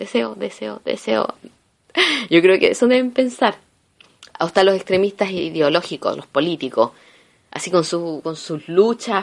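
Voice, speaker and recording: Delivered at a fairly slow pace with long, frequent pauses, the voice has an animated tone, big swings in loudness, very wide pitch swings and vocal fry. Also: woman, medium pitch for a woman. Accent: Chilean. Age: 30s. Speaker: podcaster. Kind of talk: casual monologue.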